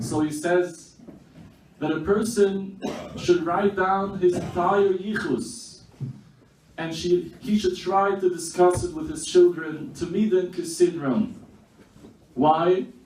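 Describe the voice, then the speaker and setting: Heard with audible room echo, a man with a high pitch speaks at a very slow pace and ordinary pitch variation. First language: Yiddish. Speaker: speaker at memorial meal. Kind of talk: memorial speech.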